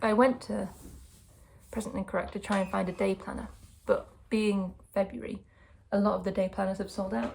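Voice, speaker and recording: A woman with a medium pitch speaks at a fairly quick pace, broken by long, frequent pauses. Her voice has vocal fry and ordinary pitch variation. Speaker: vlogger and sound artist. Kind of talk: casual vlog talk to camera. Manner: relaxed, informal.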